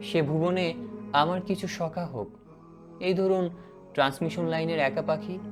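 Music plays in the background. Over it, a man speaks in a high pitch. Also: ordinary pitch variation. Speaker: voiceover narrator. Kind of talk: reflective spiritual story narration. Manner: calm, emotional.

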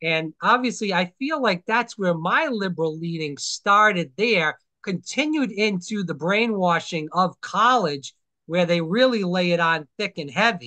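Against a quiet background, a man with a raised, projected voice speaks at a fairly slow pace and a high pitch, with lively intonation and a bright, sharp tone. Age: 30s. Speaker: podcast host. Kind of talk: casual political interview. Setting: video call. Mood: earnest, opinionated. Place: home room. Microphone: webcam.

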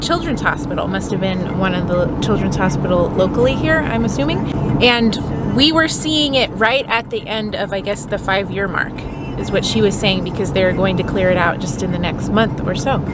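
Heavy background noise surrounds a female speaker. Her sound is dry and free of echo. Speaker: family travel vlogger. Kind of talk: casual vlog chat. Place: car. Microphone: phone near.

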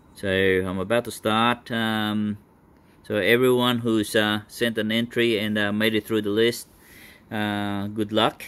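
Monotone and flat, a man talks at a fairly slow pace with a fairly low pitch. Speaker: kayak fishing YouTuber. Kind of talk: casual announcement to camera. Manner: loud, projecting. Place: home room. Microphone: phone near.

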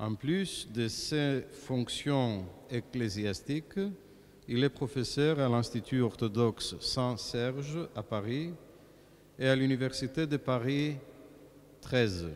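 A man at a very slow pace with long, frequent pauses and ordinary pitch variation. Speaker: clergyman introducing a lecture. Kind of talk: formal introduction. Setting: church. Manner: formal. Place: church. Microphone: podium.

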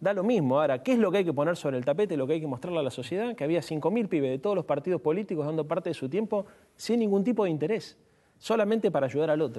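Very fast speech from a man in a Rioplatense accent, fairly high in pitch, with a dark, mellow tone and lively intonation. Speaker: youth political activist; guest. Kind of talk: panel discussion. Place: studio.

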